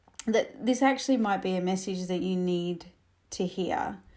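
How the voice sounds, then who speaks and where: This woman has an Australian accent. Her delivery rises and falls in a lively way. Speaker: camel trainer and podcast host. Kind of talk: podcast monologue. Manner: casual, with many fillers.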